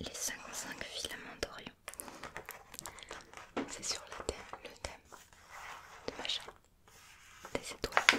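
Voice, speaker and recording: A woman whispers very slowly, stopping often for long pauses. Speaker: ASMR creator. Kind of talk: ASMR magazine page flipping. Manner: whispered; slow, soft-spoken. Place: home room.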